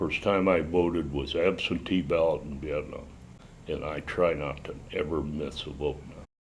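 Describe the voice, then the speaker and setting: A man speaks with a very deep, low voice. It is somewhat breathy. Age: 70s. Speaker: war veteran. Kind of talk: interview testimony.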